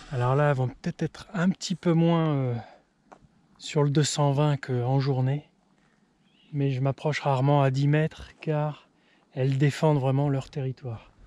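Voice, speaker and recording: A man's fairly high voice, dark and mellow in tone, flat and monotone, with long, frequent pauses and a dry, close sound with no echo. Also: very clean recording, silent background. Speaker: farmer. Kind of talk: casual vlog narration. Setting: outdoors. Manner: speaking quietly.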